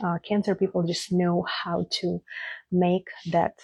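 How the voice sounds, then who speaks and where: This woman's voice is fairly low and somewhat breathy. Her tone is dark and mellow. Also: dry, close sound with no echo. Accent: non-native. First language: not English. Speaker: astrologer. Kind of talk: astrology forecast monologue. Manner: casual, hesitant with fillers.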